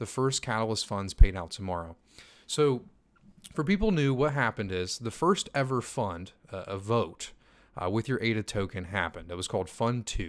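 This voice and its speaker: On a very clean recording with a silent background, a man with a fairly low pitch talks at a moderate pace with lively intonation. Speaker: crypto YouTuber. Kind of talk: livestream Q&A. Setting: live stream reading chat. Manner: quieter, less energetic than usual; casual, filler-heavy.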